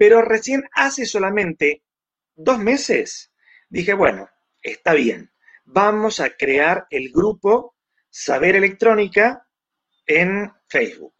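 A high-pitched man with lively intonation, very slow pace and long, frequent pauses, in a dry, close sound with no echo. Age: 60s. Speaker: electronics engineer and magazine editor. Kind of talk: interview.

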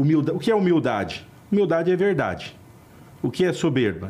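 Somewhat breathy speech in a dark, mellow tone, fairly quick in pace and lively in intonation. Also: man. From Brazil, northern Paraná. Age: 50s. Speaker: lawyer. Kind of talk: interview.

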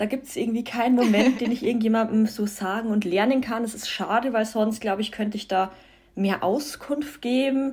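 A woman with a fairly high, somewhat breathy voice speaks very fast with ordinary pitch variation, on a very clean recording over a silent background. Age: 20s. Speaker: self-love and vegan influencer. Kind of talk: casual interview.

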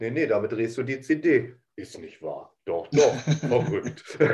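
A man speaks in a somewhat breathy, dark, mellow tone with ordinary pitch variation. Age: 40s. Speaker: podcast host. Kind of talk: casual chat.

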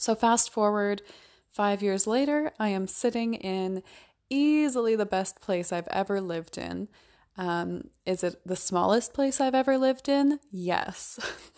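A woman in a normal speaking voice talks at a fairly slow pace and medium pitch with ordinary pitch variation, in a very clean recording with a silent background. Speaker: podcast host and minimalism coach. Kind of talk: solo podcast monologue.

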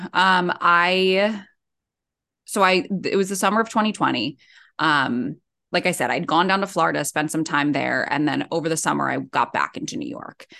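Speaking at a moderate pace with an American accent, a woman uses lively intonation, a fairly low pitch, vocal fry, and a bright, sharp tone against a quiet background. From South Jersey, US. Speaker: breathwork facilitator and coach. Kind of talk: casual interview.

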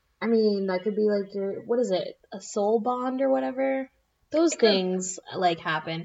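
An American-accented woman speaks at a medium pitch and a moderate pace. Her intonation is lively. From South Florida. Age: 20s. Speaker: podcast host. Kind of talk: casual chat.

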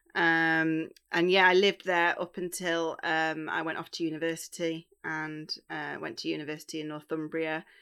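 At a moderate pace with hardly any pauses, a woman speaks in a fairly low, monotone, flat voice, captured in a very clean recording with a silent background. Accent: East Midlands. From Derbyshire, England (Bakewell). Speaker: charity victim support manager. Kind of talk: interview conversation.

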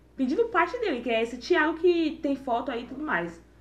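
At a fairly quick pace, a woman talks in a high-pitched voice. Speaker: podcast co-host. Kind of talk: casual chat.

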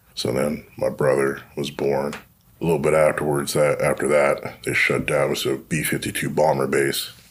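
Over noticeable background noise, a man with an American accent speaks at a fairly slow pace. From Ohio, Youngstown. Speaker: former Marine and police officer, real estate agent. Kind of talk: testimony.

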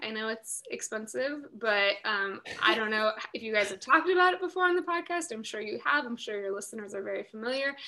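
With an American accent and a fairly high pitch, a woman talks at a fairly quick pace with lively intonation. Her loudness swings widely over noticeable background noise. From Northern California, San Francisco Bay Area. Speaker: former reality TV contestant, event planner and poet. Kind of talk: casual interview chat.

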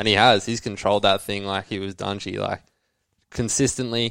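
Speaking with an Australian accent, a man with a fairly low pitch moves at a fairly quick pace with fairly even intonation on a very clean recording with a silent background. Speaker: motocross rider. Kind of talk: casual chat. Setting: studio.

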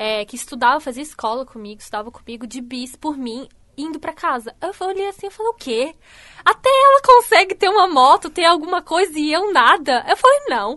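Projecting a raised voice, a woman speaks at a moderate pace with a bright, sharp tone. Her loudness and pitch both swing widely, and the sound is dry and close with no echo. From Santa Catarina, Brazil (Canelinha, north of the state). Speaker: style consultant. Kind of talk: radio interview.

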